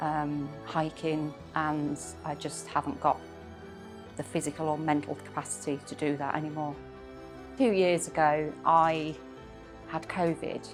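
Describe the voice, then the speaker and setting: Fairly slow speech in a Yorkshire accent, long, frequent pauses, and music in the background. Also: woman, very deep, low pitch for a woman, ordinary pitch variation. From Yorkshire, England. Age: 50s. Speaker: mesothelioma patient. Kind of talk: interview answer.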